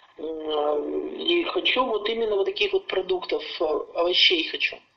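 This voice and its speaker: Very slow speech from a woman, noticeable background noise behind it. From Urals, Russia (Yekaterinburg). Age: 60s. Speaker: customer giving a product testimonial. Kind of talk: testimony.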